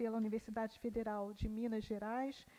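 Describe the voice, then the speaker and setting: Monotone, flat intonation marks a woman's voice with a dark, mellow tone. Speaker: panel moderator. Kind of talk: speaker introduction at academic conference. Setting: university conference panel.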